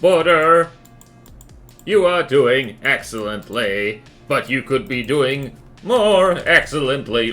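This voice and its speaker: A man does a robotic put-on character voice at a fairly slow pace, with long, frequent pauses and faint music in the background. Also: fairly high pitch for a man. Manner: mockingly encouraging, managerial.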